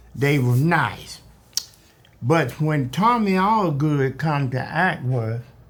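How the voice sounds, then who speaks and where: Against noticeable background noise, a fairly high-pitched man speaks very slowly with lively intonation. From US South. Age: 80s+. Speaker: oral history interviewee. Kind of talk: oral history interview.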